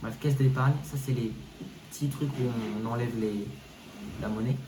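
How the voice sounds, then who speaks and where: A man's medium-pitched voice with lively intonation at a moderate pace, amid noticeable background noise and audible room echo. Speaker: gaming YouTuber. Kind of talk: casual game walkthrough commentary. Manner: animated, hesitant with fillers.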